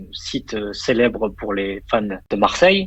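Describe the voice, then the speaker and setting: A man speaks with lively intonation. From France. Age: 30s. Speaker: banker and fantasy football investor. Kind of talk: podcast interview. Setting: in his office. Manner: hesitant, many fillers.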